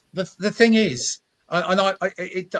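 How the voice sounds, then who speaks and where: With a London accent, a man speaks at a high pitch in a dry, close sound with no echo. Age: 70s. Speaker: motoring campaign founder. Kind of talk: interview. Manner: halting, many repetitions.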